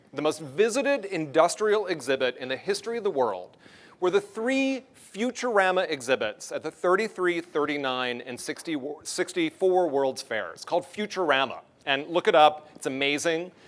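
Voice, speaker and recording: A man talks with an American accent at a high pitch for a man. His pitch swings very widely. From US North. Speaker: transportation planner, keynote speaker. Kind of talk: conference keynote speech. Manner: fast.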